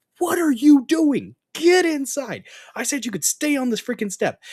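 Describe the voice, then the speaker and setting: Someone speaks in a high-pitched, put-on character voice. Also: moderate pace. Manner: scolding, stern.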